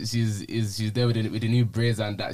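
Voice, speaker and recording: A man is speaking. His pitch is medium. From Nigerian heritage, UK. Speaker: podcast host. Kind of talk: casual chat.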